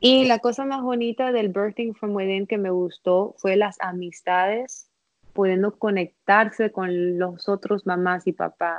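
At a fairly slow pace, a woman speaks in a plain, everyday voice of medium pitch with ordinary pitch variation. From Miami, US. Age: 30s. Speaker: placenta encapsulation specialist. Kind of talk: casual interview, birth story.

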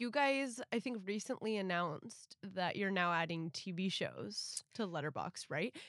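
A woman with an unremarkable speaking voice talks at a fairly slow pace and medium pitch, with hardly any pauses. Her intonation is lively, and the sound is dry and close with no echo. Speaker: podcast host. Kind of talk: casual interview chat.

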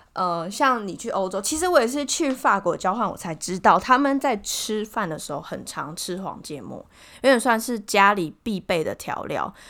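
A woman speaks at a moderate pace in a fairly high, bright, sharp voice, with very wide pitch swings and big swings in loudness, on a very clean recording with a silent background. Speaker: podcast co-host. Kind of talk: casual chat.

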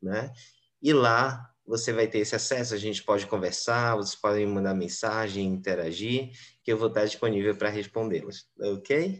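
A man with a fairly low pitch and ordinary pitch variation speaks at a fairly slow pace in a plain, everyday voice. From Brazil, Belém (Pará). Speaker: English teacher. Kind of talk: interview.

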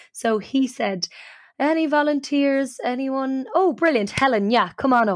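The speaker talks at a fairly slow pace with an Irish accent. The sound is dry and close with no echo, in a very clean recording with a silent background. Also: woman. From Ireland. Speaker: podcast host, storyteller and improviser. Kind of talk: casual storytelling chat.

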